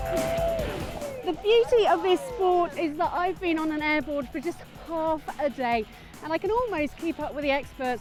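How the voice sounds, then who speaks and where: Music plays behind a woman with an extremely high pitch. She speaks fairly slowly with lively intonation. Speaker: sports reporter and presenter. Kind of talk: on-location news report.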